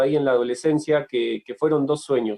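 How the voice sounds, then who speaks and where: A man's voice with fairly even intonation. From Argentina, Tierra del Fuego and La Plata. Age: 30s. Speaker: writer and sports journalist. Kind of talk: interview testimony. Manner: halting, many fillers and repetitions.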